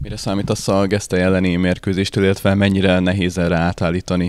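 A man's very deep, low voice rushes at a very fast pace in monotone, flat intonation. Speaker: club interviewer. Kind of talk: casual interview.

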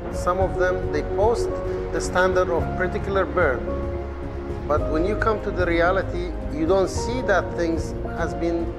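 Loud music plays behind a man who talks at a fairly slow pace. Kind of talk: informal talk to a group. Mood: relaxed, instructive. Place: hall. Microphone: lapel.

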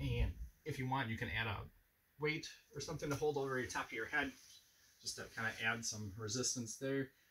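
A man speaks at a fairly quick pace with ordinary pitch variation. His tone is bright and sharp, with light background noise. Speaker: fitness instructor. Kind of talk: tutorial. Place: home room. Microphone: camera far.

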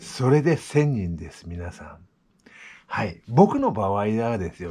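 Over a quiet background, a man speaks very slowly in a relaxed, somewhat breathy tone with lively intonation. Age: 60s. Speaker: vlogger. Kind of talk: casual vlog monologue; casual vlog chat. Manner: relaxed, halting with fillers. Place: home room. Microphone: phone near.

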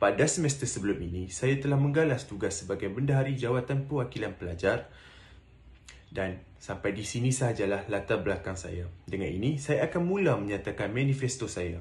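A man's medium-pitched, somewhat breathy voice with lively intonation at a fairly quick pace. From Malaysia, Penang; Malaysia. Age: 20s. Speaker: student election candidate; election candidate. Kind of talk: campaign speech. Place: home room. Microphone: phone near.

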